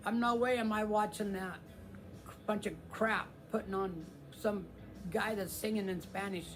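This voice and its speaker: Music plays in the background while audible echo fills the room. A man with a high pitch speaks at a fairly slow pace, with long, frequent pauses. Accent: American. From US Midwest (Kansas). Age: 60s. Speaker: guitar channel host. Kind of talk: casual live stream chat. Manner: halting, many fillers.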